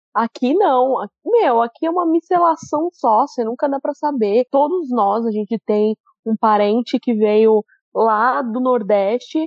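Fairly slow speech from a woman with a São Paulo accent, fairly high in pitch, with ordinary pitch variation. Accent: paulista. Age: 30s. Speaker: podcast host. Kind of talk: casual chat.

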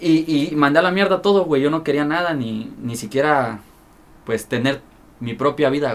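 A man's fairly high voice with a Mexican accent. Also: ordinary pitch variation, moderate pace. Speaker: rapper and freestyler. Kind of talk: casual chat. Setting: studio.

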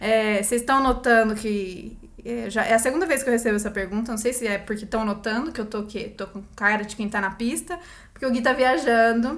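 The woman has a plain, everyday voice with a fairly high pitch. She talks at a fairly quick pace, and her pitch varies in an ordinary way. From Brazil, Campinas. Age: 30s. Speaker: actress. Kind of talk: casual chat. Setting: recording at home.

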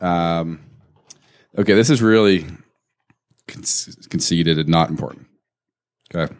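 Long, frequent pauses break up this man's speech, which has a very deep, low pitch. His loudness swings a lot. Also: ordinary pitch variation, fairly slow pace. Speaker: podcast co-host; company owner, mortgage business. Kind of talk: casual banter over beers.

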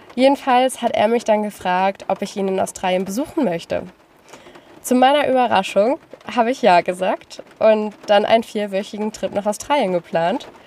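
Noticeable background noise accompanies a woman with a fairly high pitch. She speaks at a moderate pace with ordinary pitch variation. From northern Germany, Lüneburg Heath. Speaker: travel podcaster. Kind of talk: personal monologue.

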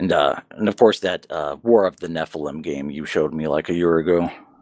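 A man's very deep, low voice with vocal fry, ordinary pitch variation and a moderate pace, recorded dry and close with no echo. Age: 30s. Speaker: podcast co-host. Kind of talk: casual chat. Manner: halting, frequent fillers and restarts.

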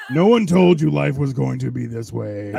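The speaker uses a put-on character voice at a moderate pace. Light background noise can be heard. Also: man. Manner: spooky, haunting.

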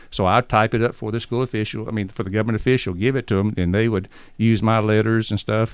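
Fairly quick, fairly low speech from a man with an Alabama accent, fairly even in intonation, on a very clean recording with a silent background. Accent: US Southern (Alabama). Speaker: missionary. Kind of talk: interview.

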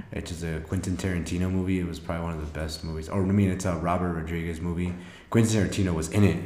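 A man speaks very fast in a very deep, low, dark and mellow voice. His delivery is monotone and flat, and the setting is quiet. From Mexico. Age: 20s. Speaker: podcast co-host and youth mentor. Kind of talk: casual chat.

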